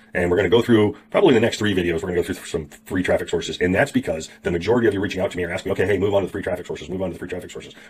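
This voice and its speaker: A man talks at a very fast pace with hardly any pauses. His pitch is fairly low, his intonation fairly even, and his voice somewhat breathy. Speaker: online marketing tutor. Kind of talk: tutorial. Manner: casual, chatty.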